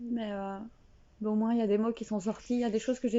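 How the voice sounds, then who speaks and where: A woman talks at a very fast pace with a fairly high pitch. Her intonation is monotone and flat. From Belgium. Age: 30s. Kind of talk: casual talk to camera. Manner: unprepared, raw, emotional.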